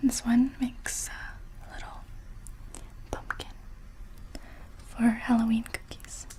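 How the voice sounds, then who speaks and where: Amid noticeable background noise, a woman speaks at a very slow pace with long, frequent pauses. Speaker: ASMR creator. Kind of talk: casual talk to camera. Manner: soft-spoken, whispered.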